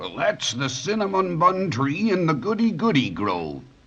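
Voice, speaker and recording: Putting on a character voice, a man talks at a fairly slow pace. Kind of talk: 1930s children's radio acting. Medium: old radio play. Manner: gentle, warm, slightly hesitant.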